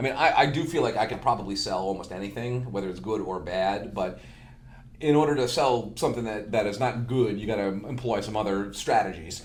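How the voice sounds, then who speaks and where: With an American accent, a man speaks at a fairly low pitch, and room echo is audible. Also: ordinary pitch variation, fairly quick pace. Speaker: marketing manager, musician. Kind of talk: casual chat.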